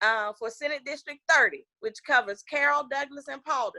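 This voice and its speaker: A woman's bright, sharp, animated voice in a Southern US accent at a moderate pace, with a dry, close sound and no echo. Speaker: political candidate. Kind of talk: political interview.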